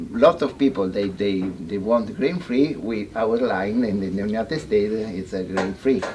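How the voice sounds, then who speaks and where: Over noticeable background noise, a man with an Italian accent speaks at a fairly slow pace with lively intonation. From Italy. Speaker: veterinarian. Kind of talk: seminar talk. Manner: halting.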